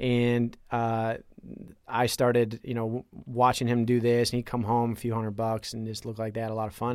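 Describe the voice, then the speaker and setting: The recording is very clean and the background silent. He talks at a moderate pace, his pitch medium for a man. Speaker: poker player and former poker media worker. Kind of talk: casual chat.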